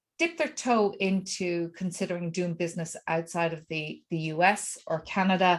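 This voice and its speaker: At a fairly slow pace and medium pitch, a woman speaks over a quiet background. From Ireland. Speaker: networking coach. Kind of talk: self-introduction at networking meeting.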